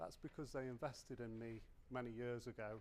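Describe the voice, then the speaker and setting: A British accent at a moderate pace. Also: man. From UK. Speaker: conference speaker, tooling sales manager. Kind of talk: conference talk.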